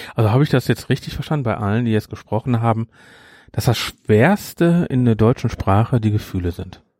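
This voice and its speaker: Delivered at a fairly quick pace, the man's voice has a dark, mellow tone. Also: medium pitch for a man, ordinary pitch variation, dry, close sound with no echo. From Germany. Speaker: program staff moderator. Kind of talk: casual chat.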